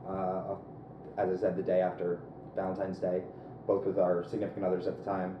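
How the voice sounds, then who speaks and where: A man with an American accent, a very deep, low pitch, and monotone flat intonation, at a fairly quick pace yet with long, frequent pauses, amid audible room echo and noticeable background noise. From US East Coast, mostly Philadelphia. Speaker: app startup founder. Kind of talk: interview conversation.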